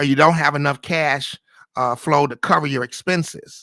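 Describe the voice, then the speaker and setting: A man with a fairly high pitch and a bright, sharp tone, fairly quick pace and fairly even intonation, in a dry, close sound with no echo on a very clean recording with a silent background. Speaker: podcast host. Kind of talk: live solo podcast monologue on investing. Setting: live stream. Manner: fast; halting, many fillers and restarts.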